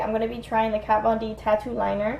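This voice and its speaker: Against light background noise and audible room echo, a woman speaks at a fairly high pitch. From US, Miami, Florida (Cuban American); Florida. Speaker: beauty vlogger. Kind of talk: casual get-ready-with-me vlog. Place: home room. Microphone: phone near.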